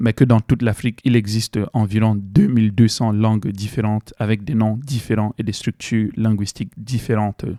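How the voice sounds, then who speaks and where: A man with a Cameroonian accent speaks at a moderate pace with hardly any pauses, in a monotone with flat intonation and a fairly low pitch. His tone is dark and mellow, and the very clean recording sounds dry and close with no echo and a silent background. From Cameroon, west (Bamoun region). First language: Bamoun (speaking French). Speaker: video essayist, student. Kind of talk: educational video essay. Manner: hesitant, many fillers.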